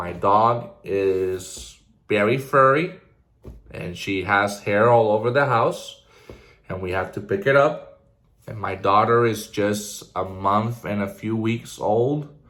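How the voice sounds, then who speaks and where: A man with a fairly low pitch and ordinary pitch variation speaks at a very slow pace. Audible room echo colors the sound. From Puerto Rico (Ponce). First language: Spanish. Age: 20s. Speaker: vlogger. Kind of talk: casual personal vlog monologue. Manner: energetic.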